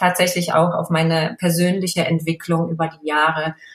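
Somewhat breathy, a woman talks at a moderate pace in a fairly low pitch. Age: 40s. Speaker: fashion blogger. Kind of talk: casual chat.

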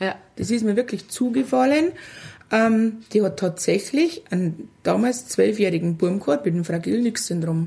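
A woman speaks with a Lower Bavarian accent and lively intonation. Her tone is dark and mellow, and somewhat breathy. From Lower Bavaria, Germany. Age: 40s. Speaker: mother of a child with a genetic syndrome. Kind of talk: casual interview. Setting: kitchen.

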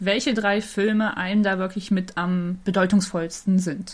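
This woman's voice is somewhat breathy, and she talks at a moderate pace. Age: 20s. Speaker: podcast co-host, cosplayer. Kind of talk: casual chat.

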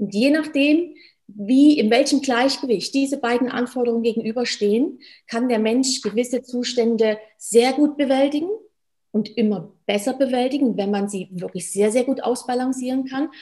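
A woman's high, dark, mellow voice at a moderate pace with ordinary pitch variation. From Germany. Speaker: stress management coach, former medical worker. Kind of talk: interview.

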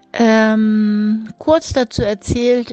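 The speaker is a woman. Her pitch is fairly high. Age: 50s. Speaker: grandmother and dog owner. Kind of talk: recorded voice message.

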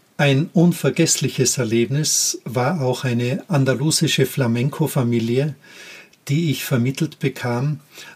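A man with a medium-pitched voice speaks at a fairly slow pace with ordinary pitch variation, in an unremarkable speaking voice. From Austria, Tyrol. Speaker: podcast host, former teacher. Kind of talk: personal storytelling monologue.

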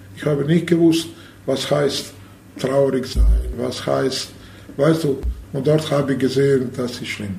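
A fairly high-pitched man with a Bosnian accent at a fairly slow pace, with fairly even intonation, long, frequent pauses, noticeable background noise and audible room echo. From Bosnia (Sarajevo). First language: Bosnian/Serbo-Croatian (speaking German). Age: 50s. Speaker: handball coach and former player. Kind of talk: interview testimony. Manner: halting.

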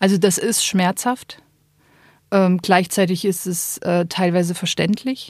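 This woman talks at a very slow pace with fairly even intonation and a medium pitch. The recording is very clean, with a silent background. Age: 30s. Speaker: Benedictine nun. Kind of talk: interview.

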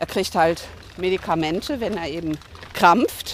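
A woman speaks in a fairly low pitch with ordinary pitch variation. Her pace is fairly slow, and background noise is noticeable. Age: 60s. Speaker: hospice volunteer. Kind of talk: interview on a walk. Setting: outdoors.

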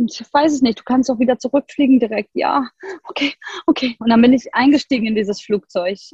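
A woman speaks at a high pitch and a fairly quick pace. Her pitch varies in an ordinary way, and the sound is dry and close with no echo. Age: 40s. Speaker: yoga and human design coach. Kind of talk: interview conversation.

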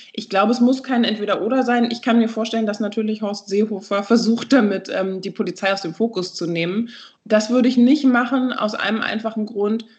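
A woman talks at a fairly quick pace, her fairly high voice somewhat breathy and her intonation fairly even. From Berlin, Germany. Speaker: anti-racism trainer, institute co-founder. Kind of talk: interview.

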